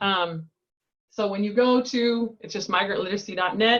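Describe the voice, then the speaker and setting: The pace is fairly quick, and the pitch varies in an ordinary way. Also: woman. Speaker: education program director. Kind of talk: webinar presentation. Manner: fast.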